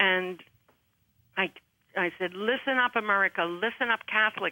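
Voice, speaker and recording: The woman speaks at a medium pitch with fairly even intonation. Her pace is moderate. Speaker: pro-life activist. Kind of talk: radio talk show interview. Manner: loud; halting.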